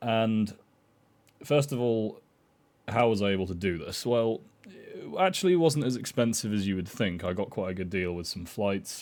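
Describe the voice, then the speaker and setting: A man's fairly low voice with a British accent and lively intonation. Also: moderate pace. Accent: UK. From Ireland. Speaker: vlogger. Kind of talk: personal travel story monologue. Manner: hesitant, many fillers.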